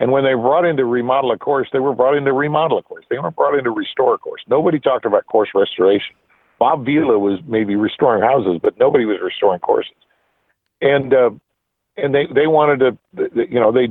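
This man has a Midwestern US accent and fairly high pitch, with ordinary pitch variation. He speaks at a very fast pace. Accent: General American, Midwestern. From US Midwest, Nebraska. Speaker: golf architecture writer and editor. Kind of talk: interview. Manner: hesitant, many fillers and repetitions.

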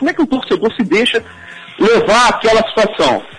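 A man's speech moves at a moderate pace while noticeable background noise carries on behind it. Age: 40s. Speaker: teacher and author. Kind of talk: interview.

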